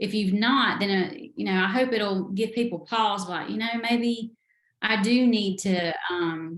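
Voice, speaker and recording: A woman with a Southern accent talks at a fairly slow pace with ordinary pitch variation. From US South. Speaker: novelist. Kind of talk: interview.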